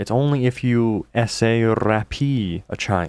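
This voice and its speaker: A man's voice with fairly even intonation on a very clean recording with a silent background. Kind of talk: casual talk to camera, commentary. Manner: talking in his normal, unexaggerated voice.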